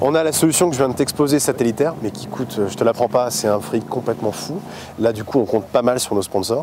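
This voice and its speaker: Over noticeable background noise, a man talks at a fairly quick pace and a medium pitch. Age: 30s. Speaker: sailor and family expedition leader. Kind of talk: casual interview. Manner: animated, many hesitations.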